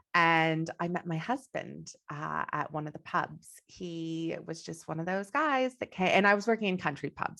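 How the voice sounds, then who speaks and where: Over a quiet background, a woman with a Texan accent speaks at a moderate pace with a fairly low pitch and ordinary pitch variation. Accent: non-Australian, Texan. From Texas. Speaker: business coach. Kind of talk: interview.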